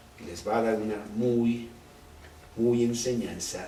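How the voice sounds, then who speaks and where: Amid noticeable background noise and audible room echo, a man of medium pitch speaks at a very slow pace. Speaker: Bible teacher. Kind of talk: Bible study teaching.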